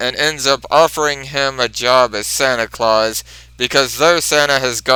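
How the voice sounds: The text is read in a natural voice with normal shifts in pitch.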